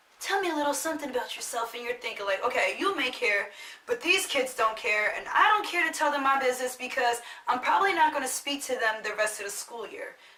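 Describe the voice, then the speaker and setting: In a raised, projected voice that is high-pitched and bright, sharp in tone, a woman speaks at a very fast pace. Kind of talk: casual talk to camera.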